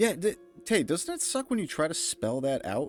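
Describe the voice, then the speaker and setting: With music playing behind him, a man speaks in very wide pitch swings. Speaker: video game streamer. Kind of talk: casual chat. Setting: live stream. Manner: animated.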